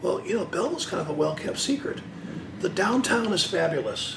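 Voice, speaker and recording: Lively intonation and a fairly quick pace mark this man's speech, heard with audible room echo and noticeable background noise. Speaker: city mayor. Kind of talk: interview.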